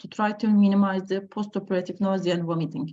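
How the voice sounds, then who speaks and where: The voice has a dark, mellow tone, somewhat breathy, with ordinary pitch variation at a moderate pace. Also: woman. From Turkey. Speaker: anesthesiologist. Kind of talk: lecture. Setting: video call. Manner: halting.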